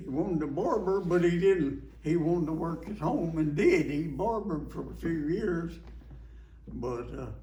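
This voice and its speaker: A man in a rural Alabama accent speaks with audible room echo. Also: moderate pace. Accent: Southern US (Alabama) rural. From US South. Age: 90s. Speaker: war veteran. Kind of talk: oral history interview. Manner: halting, repetitive.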